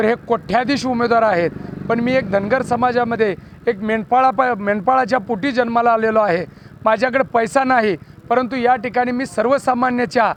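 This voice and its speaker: A man speaks at an extremely high pitch with fairly even intonation. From Maharashtra, Pandharpur area. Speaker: election candidate. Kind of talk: campaign statement to press. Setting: after a corner rally.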